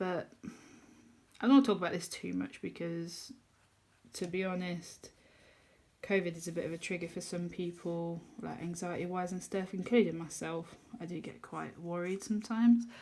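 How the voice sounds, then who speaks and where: In an English accent, a woman speaks at a moderate pace with a fairly low pitch, a dark, mellow tone, ordinary pitch variation, big swings in loudness and long, frequent pauses. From England. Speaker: colouring youtuber. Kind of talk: casual chat. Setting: home kitchen.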